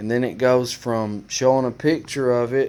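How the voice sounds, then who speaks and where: A man speaks with an Alabama accent. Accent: Alabama Southern. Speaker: motorcycle DIY youtuber. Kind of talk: tutorial. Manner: casual, hesitant with fillers.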